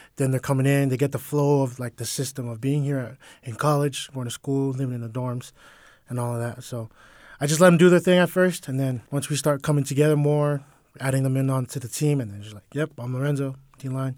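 At a fairly quick pace, a man with a normal speaking voice and medium pitch talks with fairly even intonation and big swings in loudness. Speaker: college football player. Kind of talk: interview. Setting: media day event.

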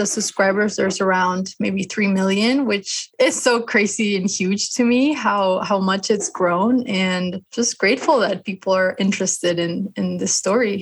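A woman of medium pitch speaks at a moderate pace with hardly any pauses, ordinary pitch variation and a somewhat breathy sound. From Mexico. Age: 30s. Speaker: illustrator and web comic author. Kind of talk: interview.

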